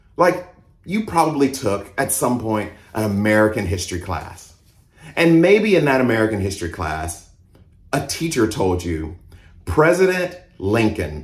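A man speaks at a fairly slow pace in a fairly low, somewhat breathy voice with very wide pitch swings. Room echo is audible. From US South (Mississippi and Georgia). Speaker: pastor. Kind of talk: sermon.

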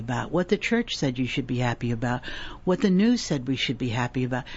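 A woman with an American accent speaks at a fairly quick pace, her very deep, low voice making very wide pitch swings. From US Northeast. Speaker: retired career coach and intuitive healer. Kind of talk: casual interview.

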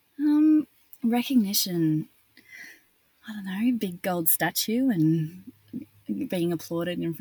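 At a very slow pace with long, frequent pauses, a woman with an Australian accent speaks in a somewhat breathy, medium-pitched voice that makes very wide pitch swings. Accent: Australian, nasal. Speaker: actress. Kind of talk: interview.

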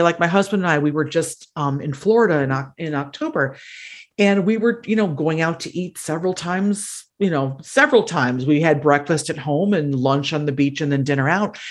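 With an American accent, a woman talks at a fairly quick pace in a normal speaking voice with lively intonation. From Wisconsin, US Midwest. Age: 50s. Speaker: actor and political campaigner. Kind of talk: casual interview.

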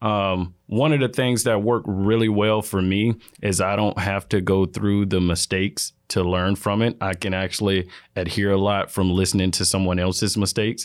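In a normal speaking voice with an American accent, the speaker keeps a moderate pace, very even loudness and fairly even intonation in a very clean recording with a silent background. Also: man, fairly low pitch for a man. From Florida, small town. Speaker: water quality manager. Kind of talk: interview conversation.

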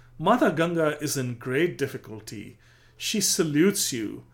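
A man speaks at a fairly slow pace with a fairly high pitch. His intonation is lively. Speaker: narrator. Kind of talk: scripted narration of historical storytelling; dramatic narration, storytelling. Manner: dramatic, vivid, building tension; measured, formal.

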